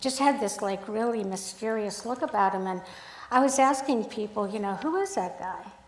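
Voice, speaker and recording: A woman with an American accent talks with ordinary pitch variation amid noticeable background noise and audible room echo. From Sacramento, California (born Hungary, lived in Belgium and Montreal as a child). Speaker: photographer. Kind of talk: talk to a club audience. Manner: halting.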